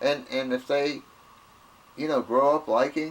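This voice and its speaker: A man talks in a medium pitch with a Southern US accent. His pace is moderate. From US South. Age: 70s. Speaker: video blogger. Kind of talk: casual monologue. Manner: halting, repetitive.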